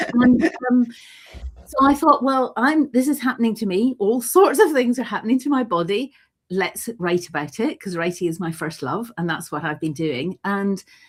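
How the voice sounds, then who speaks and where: Her fairly high pitch swings very widely. This woman sounds somewhat breathy and talks at a moderate pace. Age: 60s. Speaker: writer and gathering presenter. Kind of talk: casual chat.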